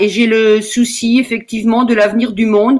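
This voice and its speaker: The woman's voice sits fairly high. She speaks with monotone, flat intonation. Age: 70s. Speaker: school volunteer. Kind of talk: self-introduction. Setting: video call. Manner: halting.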